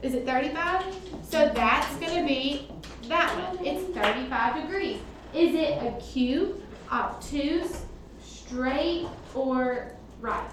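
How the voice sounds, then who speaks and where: A woman with a high voice speaks very slowly and loudly, with ordinary pitch variation and long, frequent pauses. Audible room echo and noticeable background noise surround her. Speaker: math teacher. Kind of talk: classroom lesson. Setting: classroom with students, recorded on computer. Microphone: computer mic, far from speaker.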